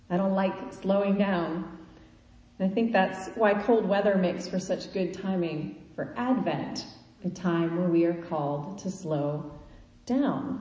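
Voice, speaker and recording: Noticeable background noise and audible room echo accompany speech at a fairly slow pace. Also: woman, medium pitch for a woman, ordinary pitch variation. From Kansas. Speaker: preacher. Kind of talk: sermon.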